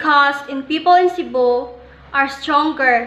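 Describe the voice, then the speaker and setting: A woman projects a raised, high-pitched voice. She speaks at a fairly slow pace with ordinary pitch variation. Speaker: student presenter. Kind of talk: educational presentation.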